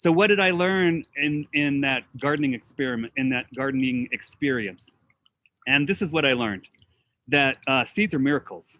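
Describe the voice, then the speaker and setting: Speaking at a moderate pace, a man with a fairly high pitch has lively intonation and a bright, sharp tone in a dry, close sound with no echo. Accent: General American. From US West, Oregon. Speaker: botanist. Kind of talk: presentation.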